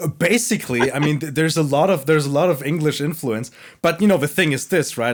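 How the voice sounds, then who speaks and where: A man with a fairly high voice talks at a very fast pace with lively intonation. The recording is very clean, with a silent background. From Germany. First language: Italian. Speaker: podcast host. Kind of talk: casual chat. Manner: halting, many fillers.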